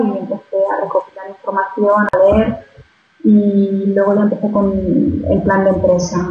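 A woman speaks at a medium pitch and a fairly slow pace. Audible room echo surrounds her voice. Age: 30s. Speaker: fashion entrepreneur. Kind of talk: interview. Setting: Skype call.

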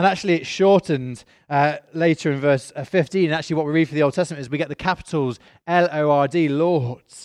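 A man with a British accent at a fairly quick pace and fairly high pitch, with fairly even intonation, against a quiet background in a dry, close sound with no echo. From Britain. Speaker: pastor. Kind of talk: sermon. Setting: church.

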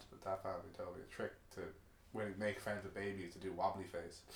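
Audible room echo surrounds a speaker with an Irish accent. The delivery is fairly quick, in a flat monotone. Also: man. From Ireland. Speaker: podcast co-host. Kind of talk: casual chat.

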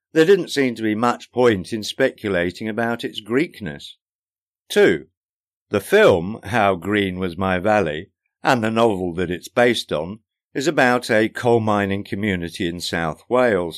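A man with an ordinary speaking voice at a moderate pace, on a very clean recording with a silent background. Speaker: podcaster and author. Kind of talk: casual chatty podcast intro, then audiobook narration of the book's preface. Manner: wry, dry humour, conversational; measured, warm, self-deprecating narration.

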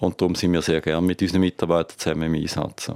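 A man is talking. He goes at a very fast pace. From Thurgau, Switzerland (Lake Constance). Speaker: hotelier and industry association president. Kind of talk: interview.

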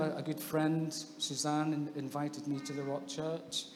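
A man with a fairly high pitch speaks at a moderate pace, with audible room echo and noticeable background noise. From England (born in Scotland). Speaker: baptism candidate, social worker. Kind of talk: testimony.

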